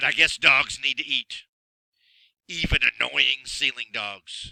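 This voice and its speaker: A man puts on a raspy character voice. He speaks at a fairly slow pace, the sound dry and close with no echo. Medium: read story. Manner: gruff, grumbling.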